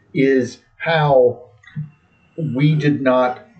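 A man's somewhat breathy voice. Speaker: soccer podcast co-host. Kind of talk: casual chat. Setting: bar basement. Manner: slow, deliberate with pauses.

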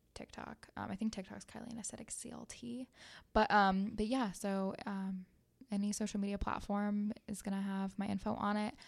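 Recorded very cleanly against a silent background, a woman speaks at a medium pitch with an American accent. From US Midwest (small town, southern Ohio). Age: 20s. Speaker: esthetician and business owner. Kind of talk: casual interview chat. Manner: animated.

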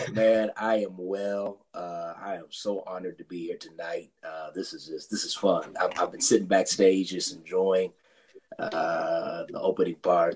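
Quiet and raspy, a man uses a put-on character voice at a fairly low pitch and a fairly slow pace. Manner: quiet, mellow, sermon-like.

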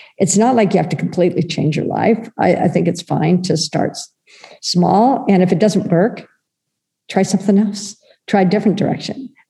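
A woman with an American accent, an ordinary speaking voice, medium pitch, very even loudness and a moderate pace. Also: ordinary pitch variation. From United States. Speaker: children's wellness project founder. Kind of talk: interview conversation.

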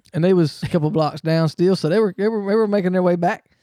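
The voice has a dark, mellow tone and a Southern US accent, with ordinary pitch variation on a very clean recording over a silent background. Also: man. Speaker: racing podcast co-host. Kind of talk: casual chat.

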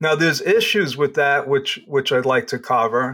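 The recording is very clean, with a silent background. A man with a New York accent talks at a fairly slow pace and fairly high pitch. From New York, Long Island. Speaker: accountant and business consultant. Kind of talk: interview.

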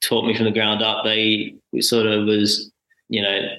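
Speaking with an Australian accent, a man talks at a moderate pace and a fairly low pitch. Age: 20s. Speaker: full-time traveller. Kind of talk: casual interview.

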